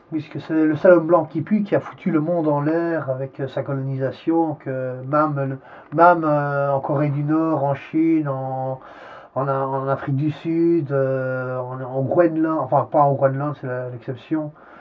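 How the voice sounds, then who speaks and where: Noticeable background noise sits behind a man speaking at a fairly slow pace. His pitch is fairly high and his intonation fairly even. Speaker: interviewee. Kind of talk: interview. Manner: halting.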